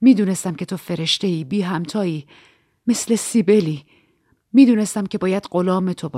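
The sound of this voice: Over a quiet background comes an unforced reading voice whose pitch varies in an ordinary way.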